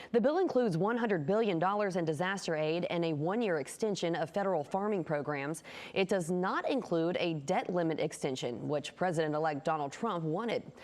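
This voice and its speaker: A woman with an unremarkable speaking voice talks at a fairly quick pace with hardly any pauses, her fairly low voice lively in intonation and very even in loudness. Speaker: TV news anchor. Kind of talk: TV news read.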